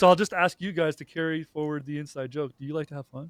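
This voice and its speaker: In a Canadian accent, a man talks at a fairly high pitch with ordinary pitch variation, the sound dry and close with no echo. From Canada. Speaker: YouTube host. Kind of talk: casual panel chat. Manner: hesitant, many fillers.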